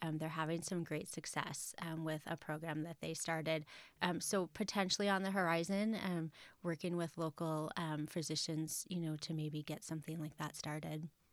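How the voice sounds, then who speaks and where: On a very clean recording with a silent background, a woman speaks at a moderate pace in a fairly low, monotone, flat voice. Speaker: nonprofit executive director. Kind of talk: interview. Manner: hesitant, filler-heavy.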